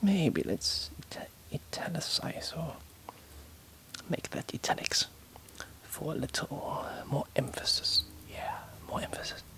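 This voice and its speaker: Someone whispers in a gentle tone at a fairly slow pace, with long, frequent pauses and noticeable background noise. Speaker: author reading and editing her own novel. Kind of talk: casual editing commentary to herself. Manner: soft-spoken, whispered, gentle.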